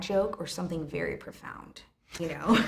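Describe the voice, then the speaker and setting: A woman speaks loudly in an animated tone with vocal fry and ordinary pitch variation, and the room echo is audible. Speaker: restaurant owner. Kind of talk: casual chat.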